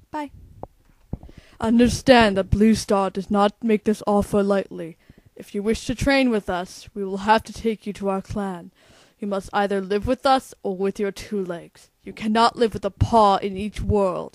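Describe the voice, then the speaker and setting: A cartoonish character voice that sounds female comes out at a medium pitch and a moderate pace. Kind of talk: voice audition.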